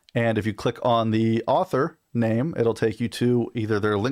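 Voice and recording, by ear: The background stays quiet as a person reads aloud in a natural voice.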